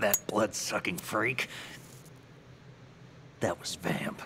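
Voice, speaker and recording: A raspy, put-on character voice drags along at a very slow pace amid clear background noise. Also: man, medium pitch for a man. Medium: video game. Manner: inquisitive, earnest.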